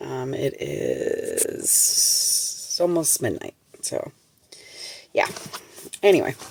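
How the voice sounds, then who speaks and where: A quiet woman's voice. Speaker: tarot reader. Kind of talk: tarot reading. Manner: halting.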